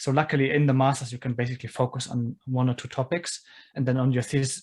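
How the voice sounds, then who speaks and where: Somewhat breathy, a man's voice moves at a fairly quick pace. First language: non-English. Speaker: engineer, podcast guest. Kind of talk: casual interview chat.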